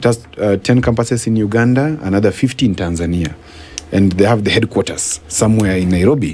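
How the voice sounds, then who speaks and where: A man with a fairly low voice talks fairly quickly, his pitch varying in an ordinary way, while noticeable noise fills the background. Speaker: governance and policy expert. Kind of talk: radio interview. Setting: radio studio. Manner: fast.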